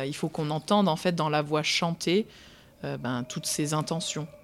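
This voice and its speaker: Very slowly, a woman speaks in a very deep, low voice with ordinary pitch variation. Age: 20s. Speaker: opera singer. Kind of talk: interview. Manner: halting.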